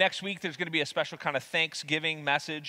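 Here a man speaks with a bright, sharp tone. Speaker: preacher. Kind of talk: sermon. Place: church.

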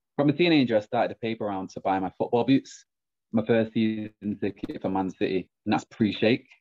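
Against a quiet background, a man with a Mancunian accent talks at a fairly quick pace, medium pitch and ordinary pitch variation. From Manchester. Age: 20s. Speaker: branch manager. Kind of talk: personal story talk. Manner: confident. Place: home room. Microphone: webcam.

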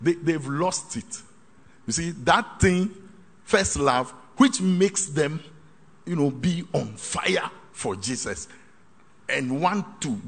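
This man has a high pitch and talks at a very slow pace. His pitch swings very widely. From Ghana. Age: 60s. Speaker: pastor. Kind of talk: sermon. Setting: hall with live congregation. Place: hall.

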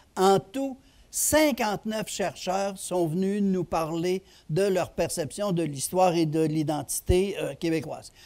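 Pitch moves with ordinary variation as the words come out at a very slow pace. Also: man, high pitch for a man. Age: old. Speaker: retired history professor. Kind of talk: lecture. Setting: stage with audience. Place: stage. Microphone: headset.

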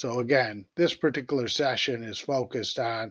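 A man's plain, everyday voice at medium pitch, moderate pace and fairly even intonation, dry and close with no echo. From United States. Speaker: economic development official. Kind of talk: business presentation. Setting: video call.

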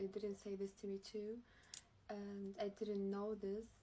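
A woman with a medium-pitched, dark, mellow voice sounds somewhat breathy. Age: young. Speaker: social media livestreamer; content creator. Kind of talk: livestream statement. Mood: upset, confiding. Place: home room. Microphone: phone near.

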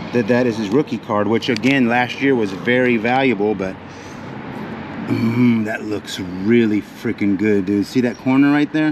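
Noticeable background noise sits behind the voice. A man speaks at a moderate pace with ordinary pitch variation. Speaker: storage auction reseller. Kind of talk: excited casual vlog commentary. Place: street. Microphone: phone near.

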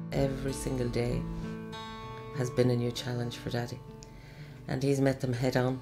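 A woman speaks at a moderate pace with long, frequent pauses. Clear music plays in the background. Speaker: daughter of a carer. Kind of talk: interview answer. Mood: warm, admiring. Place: home room.

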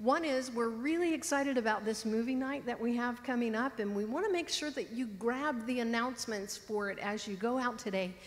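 Her pitch is high and varies in an ordinary way. The woman speaks at a moderate pace. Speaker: pastor giving announcements. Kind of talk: church announcements. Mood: warm, lightly humorous. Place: church.

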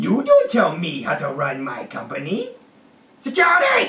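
A man uses a cartoonish character voice at an extremely high pitch. He speaks at a moderate pace. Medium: puppet. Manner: curt, dismissive.

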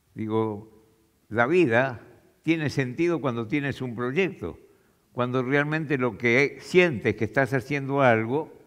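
Speaking very slowly, a man talks in an Argentine accent with ordinary pitch variation. The background is quiet. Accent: Argentine Spanish (voseo). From Argentina, interior (small town). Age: 90s. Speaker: retired chemical engineer; speaker. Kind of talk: talk to an audience. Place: stage. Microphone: headset.

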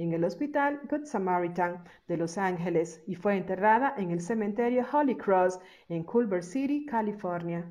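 Medium-pitched woman's voice with a dark, mellow tone, lively intonation and a moderate pace. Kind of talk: biography narration.

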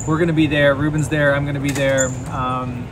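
A man's fairly quick speech over loud background noise. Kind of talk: casual vlog chat. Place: station. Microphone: phone near.

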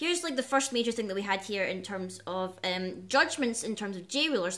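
At a fairly quick pace, a woman talks with lively intonation. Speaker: card game vlogger. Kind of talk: casual vlog chat. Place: home room. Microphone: webcam.

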